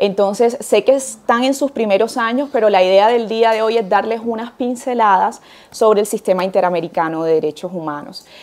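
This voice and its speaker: In a Colombian Caribbean accent, a woman talks at a fairly quick pace with hardly any pauses. Her pitch is fairly high with ordinary variation. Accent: Colombian Caribbean coastal Spanish. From Colombian Caribbean coast, Barranquilla. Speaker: university lecturer in international law. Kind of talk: lecture.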